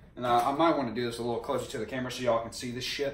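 The speaker is a man. There is audible room echo. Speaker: home cook vlogger. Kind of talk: casual comedic cooking vlog. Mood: joking, playful. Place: kitchen. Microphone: camera far.

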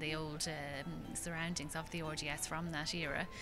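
A woman speaks at a moderate pace in a very deep, low pitch. The sound is dry with no echo, and clear music plays in the background. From Ireland. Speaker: art auctioneer spokesperson. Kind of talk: interview answer. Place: hall.

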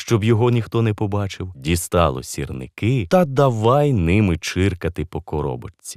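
The speaker uses an unforced reading voice. The intonation is lively.

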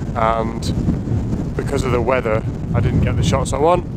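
A man talks at a moderate pace with loud background noise, the sound itself dry with no echo. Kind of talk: casual vlog chat. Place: open country. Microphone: phone near.

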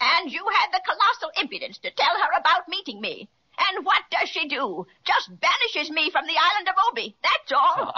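A female-sounding voice in a put-on character voice speaks at an extremely high pitch. The pace is moderate. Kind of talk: 1930s children's radio serial. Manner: menacing, gloating.

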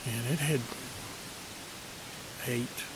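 There is noticeable background noise. A man is talking. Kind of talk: casual vlog chat. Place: forest. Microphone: phone near.

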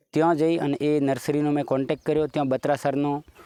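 A man speaks at a fairly high pitch with a dark, mellow tone. The sound is dry and close, with no echo. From Gujarat, Banaskantha district (north Gujarat). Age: 40s. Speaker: farmer. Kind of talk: interview.

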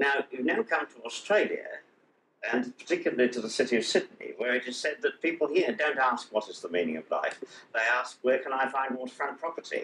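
The speaker has an English accent and talks at a fairly quick pace. Room echo is audible over light background noise. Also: man. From England. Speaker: television interviewer. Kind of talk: interview. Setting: studio. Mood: friendly, hesitant. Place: home room. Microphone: old recording.

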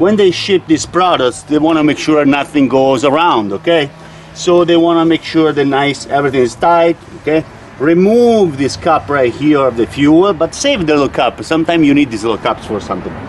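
Faint background noise sits under speech delivered at a moderate pace. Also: man, fairly high pitch for a man, lively intonation.

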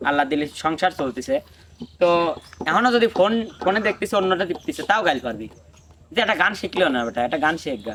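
A high-pitched man's voice with very wide pitch swings, over noticeable background noise. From Bangladesh, Pabna district. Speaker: folk singer. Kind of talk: life story in casual chat.

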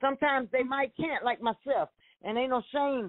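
This woman has a Southern US accent. She talks at a moderate speed. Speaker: evangelist. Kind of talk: casual chat.

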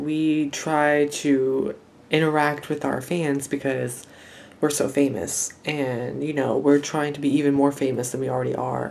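With monotone, flat intonation, a man speaks at a fairly slow pace. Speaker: vlogger host. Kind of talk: comedic confessional aside. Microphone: phone near.

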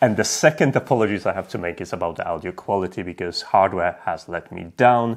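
The background is quiet. A man talks at a fairly quick pace. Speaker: tech video creator. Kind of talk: casual vlog chat. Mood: apologetic, upbeat. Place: home room.

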